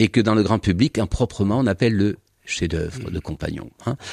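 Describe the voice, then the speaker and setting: The recording is very clean with a silent background and a dry, close sound with no echo, carrying a man's fairly low-pitched voice. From southern France, Languedoc. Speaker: historian. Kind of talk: radio interview.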